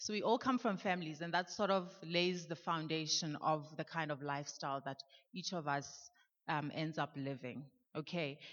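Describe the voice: Here a woman speaks with a low pitch. She keeps a moderate pace and fairly even intonation.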